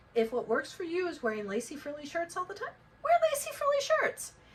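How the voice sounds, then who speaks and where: A woman's pitch swings very widely as noticeable background noise continues. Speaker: life coach. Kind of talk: casual talk to camera.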